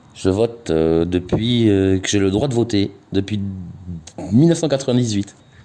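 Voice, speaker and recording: With long, frequent pauses, a man talks at a fairly slow pace and a fairly low pitch, with ordinary pitch variation. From southwest France (Gers). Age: 40s. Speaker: street interviewee. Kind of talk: street interview. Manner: halting, many hesitations and repetitions.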